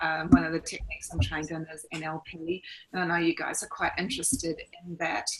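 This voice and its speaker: Noticeable background noise accompanies a woman with a New Zealand accent speaking in a fairly low pitch. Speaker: life coach and NLP trainer. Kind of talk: online presentation. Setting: video call. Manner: casual, many fillers.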